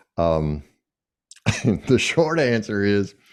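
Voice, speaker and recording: Against a quiet background, a man talks with a Southern US accent. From US South. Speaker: executive coach and author. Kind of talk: podcast interview. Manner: casual, hesitant fillers.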